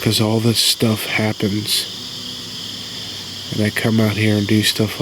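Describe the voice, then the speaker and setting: Soft-spoken and at a fairly slow pace, a man talks against noticeable background noise. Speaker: outdoor vlogger, bigfoot hunter. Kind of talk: casual monologue to camera. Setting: outdoors at night.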